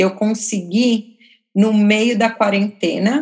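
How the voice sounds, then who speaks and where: The woman's voice is somewhat breathy, set at a medium pitch with fairly even intonation. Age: 30s. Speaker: photographer. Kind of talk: casual chat.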